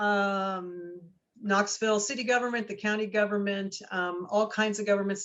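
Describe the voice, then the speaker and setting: A woman speaks in a Northeastern US accent. Her pitch is medium. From New Jersey. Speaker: research center director. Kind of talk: guest talk Q&A.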